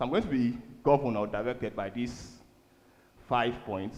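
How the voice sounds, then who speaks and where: A man speaks at a medium pitch with ordinary pitch variation, and audible room echo surrounds his voice. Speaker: church speaker on finance. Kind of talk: sermon. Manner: fast.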